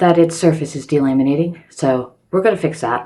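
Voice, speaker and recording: A woman at a fairly quick pace. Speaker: DIY crafts YouTuber. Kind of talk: casual vlog intro. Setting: recording in her bathroom.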